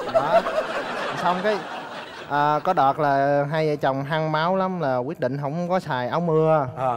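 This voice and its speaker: Over noticeable background noise, a man with a Southern Vietnamese accent speaks at a fairly slow pace with long, frequent pauses, using a fairly high pitch and ordinary pitch variation. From Saigon, southern Vietnam. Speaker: engineer, dating-show contestant. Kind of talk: casual chat. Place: stage. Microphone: headset.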